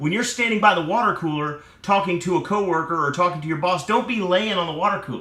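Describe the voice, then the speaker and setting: A man's high-pitched, animated voice at a very fast pace, with audible room echo and noticeable background noise. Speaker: motivational speaker. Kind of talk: motivational talk.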